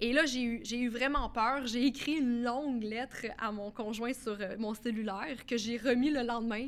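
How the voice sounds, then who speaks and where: A woman's high voice at a fairly slow pace, with fairly even intonation and hardly any pauses. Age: 30s. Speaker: author and former addict. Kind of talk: testimony.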